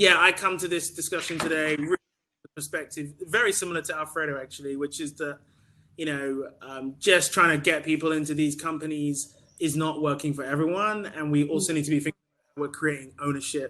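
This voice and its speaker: With a British accent, a man talks at a fairly quick pace in a bright, sharp tone, fairly high-pitched with fairly even intonation and big swings in loudness. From UK. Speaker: staffing cooperative founder. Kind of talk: panel discussion. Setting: video call.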